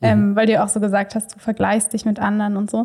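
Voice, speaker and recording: The voice is somewhat breathy, with a dark, mellow tone. Its intonation is monotone and flat. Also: woman. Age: 20s. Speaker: trainee kindergarten teacher. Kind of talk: casual interview conversation.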